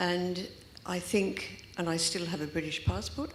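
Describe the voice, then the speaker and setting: Vocal fry runs through the voice, with fairly even intonation. Room echo is audible. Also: woman. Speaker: audience member asking a question. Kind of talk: audience question at panel.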